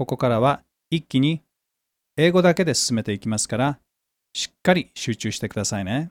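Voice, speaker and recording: With a Japanese accent, a man at a medium pitch races along at a very fast pace with very wide pitch swings, on a very clean, dry, close recording with a silent background and no echo. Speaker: English teacher and podcast host. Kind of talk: language-lesson tutorial.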